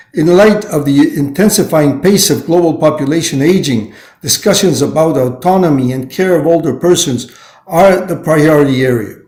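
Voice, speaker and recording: At a moderate pace and with ordinary pitch variation, the speaker is heard with audible room echo. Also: man, fairly high pitch for a man. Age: 70s. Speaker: UN training official. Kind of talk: prepared speech. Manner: halting.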